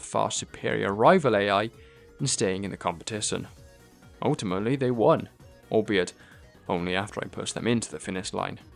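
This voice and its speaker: Music plays in the background while a man talks. He keeps a moderate pace with ordinary pitch variation. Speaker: gaming commentator. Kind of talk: game playthrough narration.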